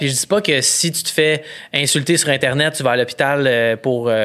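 Speaking with a Quebec accent, a man talks at a moderate pace in a fairly high pitch. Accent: Québécois French. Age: 30s. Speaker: photographer and comedian. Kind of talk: casual chat.

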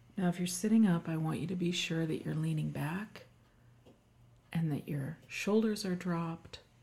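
At a fairly slow pace, a woman with fairly low pitch speaks in a dark, mellow, somewhat breathy tone with ordinary pitch variation. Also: long, frequent pauses. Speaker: wellness doctor and podcast host. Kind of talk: guided meditation. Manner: slow, calm, soothing; gentle, unhurried instructions with pauses.

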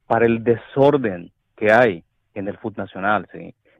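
A man's fairly low pitch at a fairly slow pace. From El Salvador. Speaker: caller. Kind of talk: phone call opinion. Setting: phone call. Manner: halting, hesitant.

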